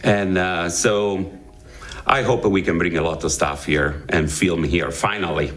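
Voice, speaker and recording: A man with an Italian accent at a very deep, low pitch, fairly slow pace, ordinary pitch variation, and very even loudness, with music in the background and audible room echo. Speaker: actor. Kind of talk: interview. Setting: studio. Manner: halting.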